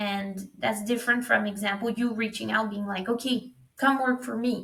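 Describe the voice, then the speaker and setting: This woman's voice sits at a fairly high pitch. Her intonation stays fairly even. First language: French. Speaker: recruitment startup founder. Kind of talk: podcast interview.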